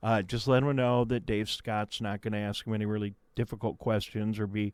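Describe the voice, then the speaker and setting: This man has an unremarkable speaking voice pitched in the medium range. He talks at a fairly quick pace. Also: very clean recording, silent background. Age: 60s. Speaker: local radio host. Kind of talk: casual interview. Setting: radio studio.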